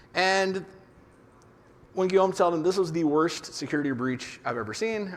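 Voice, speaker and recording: There is audible room echo as a man talks at a fairly quick pace with lively intonation. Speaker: conference speaker on developer security. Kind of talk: conference talk. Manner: fast.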